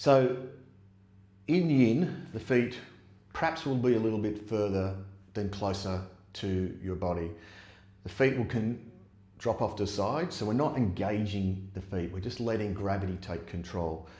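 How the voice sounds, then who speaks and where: With long, frequent pauses, a man speaks at a moderate pace in a dark, mellow, somewhat breathy tone, fairly low in pitch with lively intonation, as room echo is audible. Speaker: yoga teacher. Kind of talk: guided yoga class. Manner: gets quieter as practice goes on.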